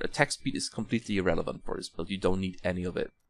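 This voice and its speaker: This man has a non-native accent. His pitch shows ordinary variation. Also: dry, close sound with no echo. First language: not English. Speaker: gaming content creator. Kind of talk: tutorial. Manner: halting, many fillers.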